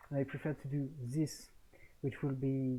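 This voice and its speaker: A man speaks at a moderate pace with a somewhat breathy, dark and mellow tone and a fairly high pitch. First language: French. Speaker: gaming tournament organizer. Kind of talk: solo video commentary on poll results. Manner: hesitant, frequent fillers.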